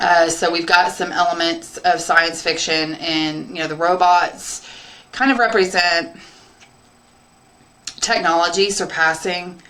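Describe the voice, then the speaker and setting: Long, frequent pauses break up a woman's speech, and her intonation is fairly even. Noticeable background noise runs underneath. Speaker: English teacher. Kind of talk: casual talk to camera introducing the story.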